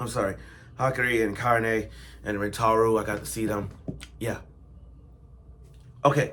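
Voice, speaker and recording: Bright and sharp in tone, the voice sounds animated, moving at a fairly slow pace with audible room echo. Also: man. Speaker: anime reviewer. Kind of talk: casual video review.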